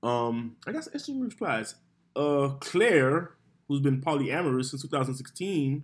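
A man with an unremarkable speaking voice talks at a fairly slow pace, his pitch fairly high and its variation ordinary. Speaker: podcast host. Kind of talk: casual chat. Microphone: far from the mic.

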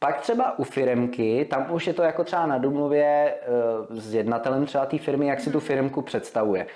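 This man's pitch sits fairly high, with ordinary variation. He moves along at a fairly quick pace. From Czechia, Vysočina region (Humpolec). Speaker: radio presenter and DJ. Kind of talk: casual interview chat.

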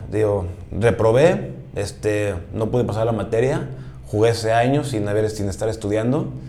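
A man's fairly low voice with lively intonation at a moderate pace, with audible room echo and noticeable background noise. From Mexico City. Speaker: American football player. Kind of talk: interview.

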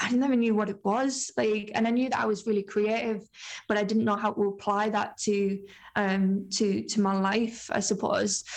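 An ordinary speaking voice: a woman at medium pitch and moderate pace, with fairly even intonation and very even loudness. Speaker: film company founder. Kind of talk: casual interview chat.

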